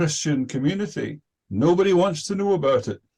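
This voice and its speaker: The voice is somewhat breathy, in a Scottish accent. It moves at a moderate pace with ordinary pitch variation. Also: man. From Scotland. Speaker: participant in religious discussion group. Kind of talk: self-introduction in online meeting. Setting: video call. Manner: hesitant, many fillers.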